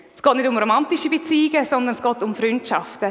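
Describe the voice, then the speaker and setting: A woman's high voice moves at a fairly quick pace with ordinary pitch variation, noticeable background noise underneath. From Switzerland, Aargau. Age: 30s. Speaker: lay preacher. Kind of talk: sermon.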